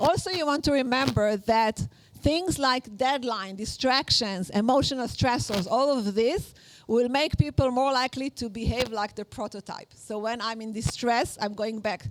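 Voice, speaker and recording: Speaking with an Israeli accent, a woman with a high pitch moves at a moderate pace with ordinary pitch variation. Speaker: workshop instructor. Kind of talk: lecture. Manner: halting, many fillers.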